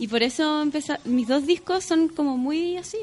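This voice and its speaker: A woman's voice over noticeable background noise. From Chile. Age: 30s. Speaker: singer and yoga teacher. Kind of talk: casual chat.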